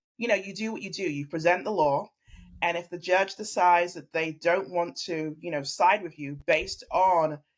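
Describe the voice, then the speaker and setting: A woman with a slight English accent speaks at a moderate pace, her fairly low pitch showing ordinary variation. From London, England. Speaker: family law attorney. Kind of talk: interview podcast conversation. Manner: earnest, reflective.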